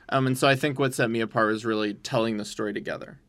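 In a very clean recording with a silent background, a man with an American accent talks at a medium pitch with ordinary pitch variation, in an unremarkable speaking voice. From Texas. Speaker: podcast host. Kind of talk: casual interview conversation.

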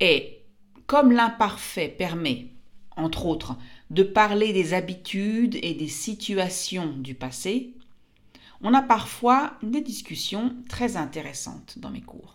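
At a very slow pace, a woman speaks at medium pitch with very wide pitch swings and big swings in loudness. Her voice carries vocal fry. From France. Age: 50s. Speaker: French teacher and podcaster. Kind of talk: language-learning monologue. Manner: clear and slow.

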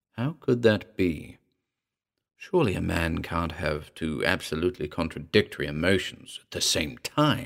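In a dramatic tone, a man swings his pitch very widely, with vocal fry creeping in. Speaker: podcast narrator. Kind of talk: ghost story reading, first-person confessional horror narration. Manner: hushed, brooding and suspenseful, savoring dark imagery; dramatic, voicing characters in quoted dialogue.

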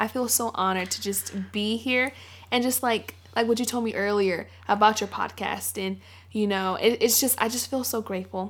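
An ordinary speaking voice from a woman, fairly high in pitch, at a moderate pace with fairly even intonation. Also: very clean recording, silent background. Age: 20s. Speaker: college student. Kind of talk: casual chat.

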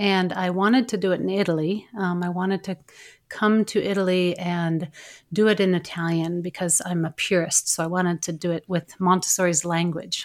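Speaking in an American accent, a woman keeps a moderate pace. Her fairly low pitch comes with monotone, flat intonation. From United States. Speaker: Montessori educator and researcher. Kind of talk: interview. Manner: halting.

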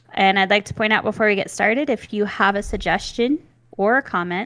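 A woman with an American accent has a plain, everyday voice at medium pitch with ordinary pitch variation, and the sound is dry and close with no echo. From US South, then Nevada. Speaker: podcast co-host. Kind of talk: casual chat, true crime storytelling. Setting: remote video call, home studio with pop filter.

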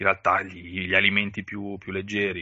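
A man's fairly low voice comes through at a moderate speed. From northern Italy, Valtellina (Sondrio). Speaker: podcast co-host and blogger who relocated for work. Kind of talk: casual interview chat.

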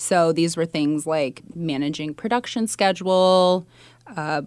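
A woman with a Californian accent at a fairly slow pace and fairly even intonation, on a very clean recording with a silent background. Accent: Californian American. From US West Coast, California Bay Area. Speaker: executive assistant, former journalist. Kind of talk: interview.

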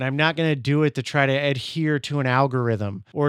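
A man talks at a moderate pace with a fairly high pitch. The background is quiet. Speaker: podcast host and content creator. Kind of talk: solo opinion monologue. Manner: casual, conversational.

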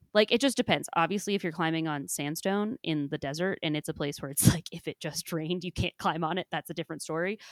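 A woman with a Midwestern accent, fairly low-pitched, very fast and animated with hardly any pauses, in a very clean recording with a silent background and a dry, close sound with no echo. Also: ordinary pitch variation. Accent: Midwest US. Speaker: podcast host and climbing coach. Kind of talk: casual chat. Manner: laughs often, animated.

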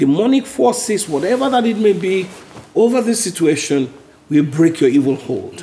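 This man speaks high for his sex, his pitch swinging very widely. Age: 50s. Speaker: Bible study leader. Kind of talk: Bible study teaching; prayer. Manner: slow.

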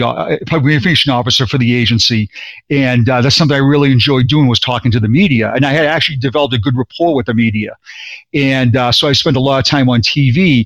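A man speaks at a medium pitch with a Boston accent. He talks very fast, with ordinary pitch variation. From Boston, Massachusetts. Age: 50s. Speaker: retired police sergeant. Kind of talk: interview, personal testimony. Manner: animated, repetitive.

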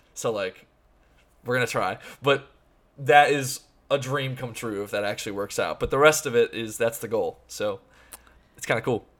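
The recording is very clean, with a silent background. A man speaks at a moderate pace, leaving long, frequent pauses. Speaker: podcast host. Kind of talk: casual chat. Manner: loud.

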